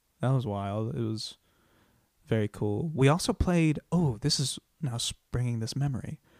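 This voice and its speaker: A man with an ordinary speaking voice talks at medium pitch and a moderate pace, with ordinary pitch variation and a dry, close sound with no echo. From US Midwest (Iowa). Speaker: stand-up comedian. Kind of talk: casual interview chat.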